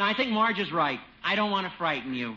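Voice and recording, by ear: Doing a put-on character voice, a man speaks fast at a high pitch with lively intonation. His tone is bright and sharp, with audible room echo.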